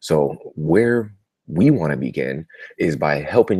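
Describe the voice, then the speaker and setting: Quiet, very deep, low-pitched speech from a man with vocal fry, dry and close with no echo. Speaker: marketing coach. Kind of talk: live webinar recap. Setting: live video broadcast from a family home. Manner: quiet, keeping voice down.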